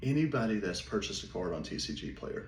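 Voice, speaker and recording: A man speaks at a medium pitch with a Southern US accent, and audible room echo surrounds his voice. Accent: Southern drawl. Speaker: small business owner, card seller. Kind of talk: casual vlog monologue. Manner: more energetic, not talking as slow.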